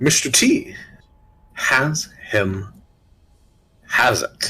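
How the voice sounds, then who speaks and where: A man performs a put-on character voice. Music plays in the background. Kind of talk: archaic formal speech. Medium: actual play. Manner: grave, cryptic.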